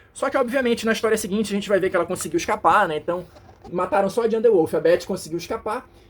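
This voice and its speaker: A man with a high pitch and lively intonation, speaking at a very fast pace. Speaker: comic book reviewer. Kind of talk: casual review monologue. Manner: hesitant fillers.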